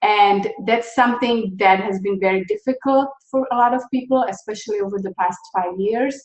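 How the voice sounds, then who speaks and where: A woman with a slight Czech accent speaks at a moderate pace with hardly any pauses. Her fairly high voice shows ordinary pitch variation. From Czechoslovakia. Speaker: nonprofit founder. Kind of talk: interview.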